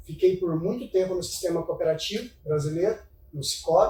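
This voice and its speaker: There is noticeable background noise behind this man. His voice sits high in pitch. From Minas Gerais, Brazil (São Gotardo). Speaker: financial investment advisor. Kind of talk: casual interview chat.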